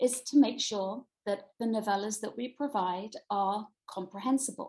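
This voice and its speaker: A woman with a British accent speaks at a fairly slow pace in a fairly high pitch. Her voice is somewhat breathy, with ordinary pitch variation. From Britain. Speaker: middle school Latin teacher and author. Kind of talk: online presentation. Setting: video call.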